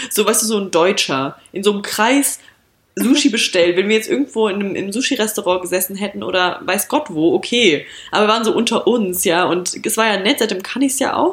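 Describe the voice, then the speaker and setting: Her voice is an unremarkable speaking voice at a medium pitch. The woman moves along at a fairly quick pace. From rural Germany. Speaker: podcast co-host. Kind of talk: casual chat.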